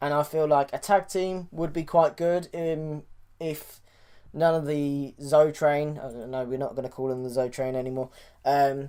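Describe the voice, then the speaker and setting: This voice carries a British accent. It moves at a moderate speed. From Britain. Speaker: wrestling podcast host. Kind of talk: casual podcast commentary.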